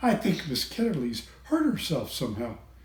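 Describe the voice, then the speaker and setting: A man in a put-on character voice, high-pitched for a man, at a moderate pace, with light background noise and a slight echo. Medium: read story.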